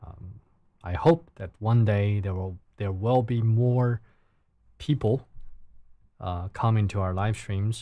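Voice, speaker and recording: A man with a Chinese accent, very slow and calm, with a fairly low pitch, a dark, mellow tone, big swings in loudness and long, frequent pauses, on a very clean recording with a silent background. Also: ordinary pitch variation. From China. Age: 30s. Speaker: live streamer. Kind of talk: casual live stream chat. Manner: halting.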